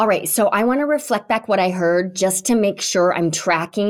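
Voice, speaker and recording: A woman speaks at a moderate pace in an ordinary speaking voice, her pitch varying in an ordinary way. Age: 40s. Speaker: podcast host. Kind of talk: interview.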